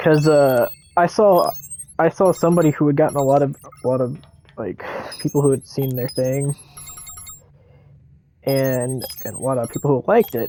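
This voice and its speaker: Music plays in the background as the speaker goes at a moderate pace with long, frequent pauses. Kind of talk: gameplay commentary. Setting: headset mic. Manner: casual.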